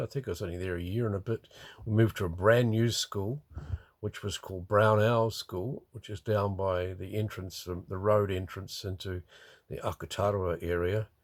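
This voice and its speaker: A man speaks in a New Zealand accent at a fairly low pitch with ordinary pitch variation. The recording is very clean, with a silent background. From New Zealand, Wellington region. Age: 70s. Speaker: retiree recording a memoir. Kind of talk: personal memoir monologue. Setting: in a motorhome by a river. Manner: halting, many fillers.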